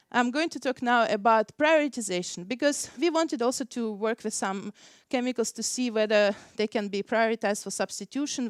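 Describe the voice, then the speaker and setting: A woman speaks at a fairly quick pace with a fairly high pitch and ordinary pitch variation. The sound is dry and close with no echo, on a very clean recording with a silent background. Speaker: scientist presenting research. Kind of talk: conference talk. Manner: fast.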